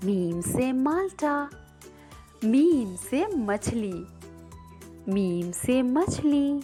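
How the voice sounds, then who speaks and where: Music plays behind a woman speaking at a high pitch. Her voice makes very wide pitch swings. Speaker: voice over and dubbing artist. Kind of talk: children's educational lesson.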